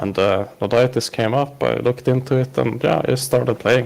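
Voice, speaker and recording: A man talks with a Swedish accent. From Sweden. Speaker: podcast guest, online gamer. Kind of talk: casual interview. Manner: hesitant, many fillers.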